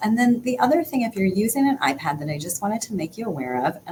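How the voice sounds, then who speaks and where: A woman with very wide pitch swings, over noticeable background noise. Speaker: occupational therapist. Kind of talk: tutorial.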